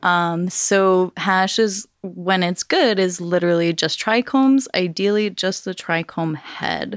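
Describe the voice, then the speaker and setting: In an ordinary speaking voice, a woman with an American accent talks at a fairly slow pace and medium pitch, with ordinary pitch variation and hardly any pauses, in a dry, close sound with no echo. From Los Angeles, San Fernando Valley. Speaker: cannabis hash company owner. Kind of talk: casual interview chat.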